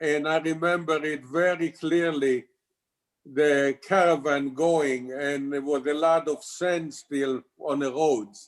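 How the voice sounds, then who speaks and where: With an Israeli accent, a man speaks at a very slow pace. His pitch is fairly high and his intonation fairly even. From Israel (Tel Aviv area). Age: 80s+. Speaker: congregation member. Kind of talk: life story interview.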